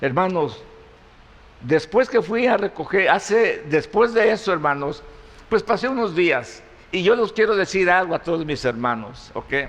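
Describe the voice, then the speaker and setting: A man speaks fairly slowly in a high voice. His pitch swings very widely. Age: 70s. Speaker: pastor. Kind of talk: sermon. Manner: halting.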